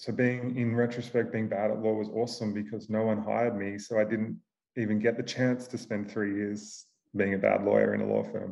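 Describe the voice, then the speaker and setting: A man with an Australian accent, fairly low-pitched, at a moderate pace, flat and monotone in intonation. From Australia, Queensland. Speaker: venture capital investor. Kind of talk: interview.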